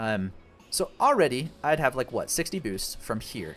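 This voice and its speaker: A man is speaking. Music plays in the background. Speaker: gaming content creator. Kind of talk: gameplay commentary. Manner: fast; casual, thinking aloud with filler words.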